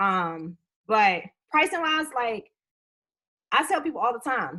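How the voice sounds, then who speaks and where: Her voice is high-pitched, with a bright, sharp tone. The woman speaks at a fairly slow pace with very wide pitch swings. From US, inner-city neighborhood. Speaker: tax preparer and business trainer. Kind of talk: live webinar. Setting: live webinar video stream. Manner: animated.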